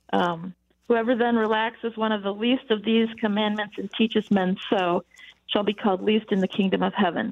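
A woman with an American accent and a medium pitch speaks at a fairly quick pace in a plain, everyday voice with fairly even intonation. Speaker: caller. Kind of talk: phone-in question. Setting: phone call.

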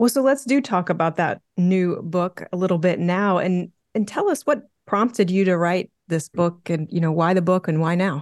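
A woman with an unremarkable speaking voice talks at a moderate pace and a medium pitch, with ordinary pitch variation and hardly any pauses. Her loudness stays very even, and the sound is dry and close with no echo. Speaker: podcast co-host interviewer. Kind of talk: interview conversation.

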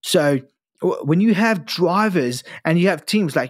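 In a British accent, the speech shows ordinary pitch variation on a very clean recording with a silent background. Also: man. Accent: British-sounding English. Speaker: podcast host; future US Air Force member. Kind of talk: casual chat.

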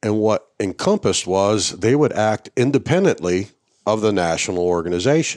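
A man with an unremarkable speaking voice at a moderate pace, lively in intonation, in a very clean recording with a silent background. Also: fairly low pitch for a man, very even loudness. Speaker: retired army veteran and coonhound breed association officer. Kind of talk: casual interview conversation. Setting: on site at a hunting event.

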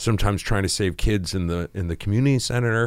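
A plain, everyday voice from a man with an American accent, fairly low in pitch, at a fairly quick pace with ordinary pitch variation. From New England, US. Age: 40s. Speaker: screenwriter and producer. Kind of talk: podcast interview. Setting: studio.

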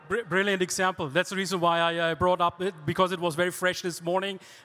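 A man with a German accent speaks fairly quickly in a high, bright, sharp voice. His intonation is monotone and flat, on a very clean recording with a silent background. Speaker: podcast host and panel moderator. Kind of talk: live panel discussion. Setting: stage with live audience.

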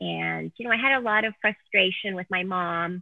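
An unremarkable speaking voice from a woman with a Canadian accent, fairly low in pitch, at a moderate pace. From Canada. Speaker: author and speaker. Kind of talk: interview testimony.

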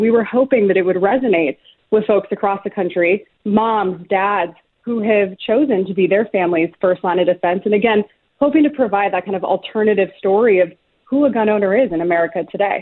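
Using a plain, everyday voice, a woman talks at a fairly quick pace and medium pitch. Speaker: gun rights organization representative. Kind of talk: interview.

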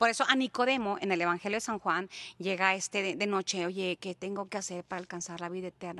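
A woman of medium pitch with a plain, everyday voice, in a dry, close sound with no echo. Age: 50s. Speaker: evangelist. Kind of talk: testimony and religious teaching.

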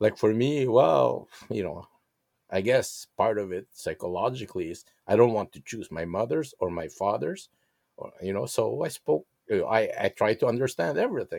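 A man with a Filipino accent speaks at a moderate pace with big swings in loudness, in a dry, close sound with no echo on a very clean recording with a silent background. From Philippines, Manila. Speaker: interviewee, guest's father. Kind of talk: interview. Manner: hesitant with frequent fillers.

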